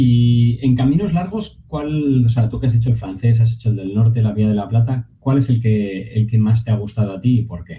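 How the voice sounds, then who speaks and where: A man's somewhat breathy voice, dark and mellow in tone, at a moderate pace. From Navarre, Spain (Pamplona). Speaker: podcast host. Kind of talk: casual interview.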